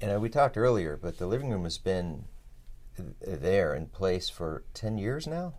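Delivered at a moderate pace, the voice moves through very wide pitch swings. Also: man, fairly low pitch for a man. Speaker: podcast host and author. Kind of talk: interview.

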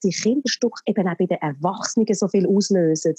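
A woman talks fairly quickly in a medium-pitched, somewhat breathy voice with a dark, mellow tone and a dry, close sound with no echo. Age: 40s. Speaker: actress and theatre producer. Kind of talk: casual chat. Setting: phone call.

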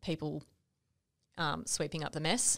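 A woman speaks with an Australian accent and a very deep, low pitch. Her intonation is fairly even, and the recording is very clean with a silent background. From Western Australia. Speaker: podcast co-host. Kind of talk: casual conversational podcast discussion.

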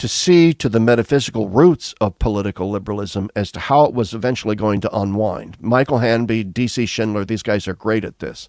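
In an American accent, a man with a plain, everyday voice speaks at a fairly quick pace on a very clean recording with a silent background. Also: dry, close sound with no echo. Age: 60s. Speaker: retired theology professor. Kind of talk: interview conversation.

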